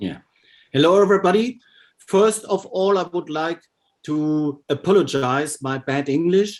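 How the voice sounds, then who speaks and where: On a very clean recording with a silent background, a man with a German accent speaks slowly-ish, at a fairly slow pace, using a high pitch with ordinary variation. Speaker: optics lecturer. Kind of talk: Q&A answer.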